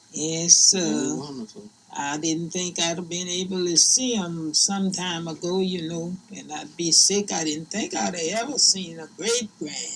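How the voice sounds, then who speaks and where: A woman with a Southern US accent, fairly low in pitch with ordinary pitch variation, at a fairly slow pace amid noticeable background noise. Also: big swings in loudness. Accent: Southern American. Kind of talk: interview answer.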